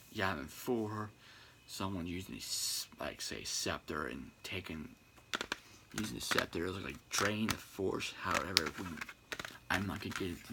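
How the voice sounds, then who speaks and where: A soft-spoken man with a very deep, low pitch speaks with long, frequent pauses over noticeable background noise. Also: ordinary pitch variation, moderate pace. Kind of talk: ASMR-style casual talk to camera about video games. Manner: quiet, soft-spoken.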